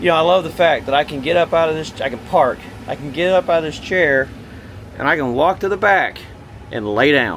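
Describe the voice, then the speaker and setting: A man's fairly high-pitched voice with ordinary pitch variation and long, frequent pauses, against noticeable background noise. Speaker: RV salesman. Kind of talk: product walkthrough. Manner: fast.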